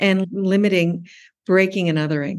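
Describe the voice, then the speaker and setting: This woman has an American accent and an ordinary speaking voice. She talks at a medium pitch and a moderate pace. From US and Tokyo, Japan. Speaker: PhD student in urban studies, former publisher. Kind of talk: interview.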